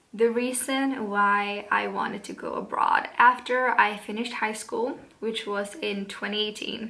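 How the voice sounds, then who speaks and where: Talking at a fairly slow pace with hardly any pauses, a woman with a Swedish accent has a fairly high pitch, fairly even intonation and big swings in loudness, with noticeable background noise. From Sweden. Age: 20s. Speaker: vlogger. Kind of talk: casual vlog talk. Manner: hesitant, many fillers.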